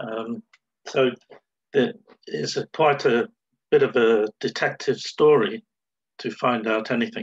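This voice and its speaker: A man at a fairly slow pace with long, frequent pauses, over a quiet background. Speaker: presenter, stamp collector. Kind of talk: presentation. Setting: video call. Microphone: video call.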